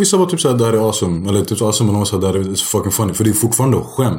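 A man's voice, somewhat breathy and dark and mellow in tone, moves at a very fast pace. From Sweden. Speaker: stand-up comedian. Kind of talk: casual chat.

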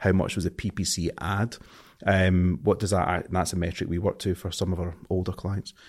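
A man's very deep, low voice in a strong Scottish accent, flat and monotone, on a very clean recording with a silent background. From Scotland. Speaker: marketing agency owner. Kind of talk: interview conversation.

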